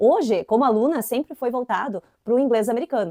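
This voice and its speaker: The voice carries an inland Santa Catarina accent and a dark, mellow tone. The sound is dry and close, with no echo. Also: woman. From southern Brazil, inland Santa Catarina. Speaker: English teacher. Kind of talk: educational video tutorial. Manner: casual, conversational.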